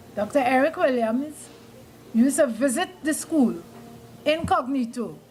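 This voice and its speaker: A woman speaks in a high-pitched voice. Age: 70s. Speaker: school alumna giving history. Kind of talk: speech at a reunion.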